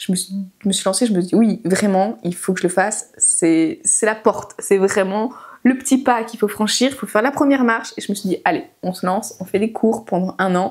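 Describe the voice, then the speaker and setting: This woman's pitch is medium. She talks at a fairly quick clip. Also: ordinary pitch variation. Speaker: sewing pattern designer, channel owner. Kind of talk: casual vlog talk to camera.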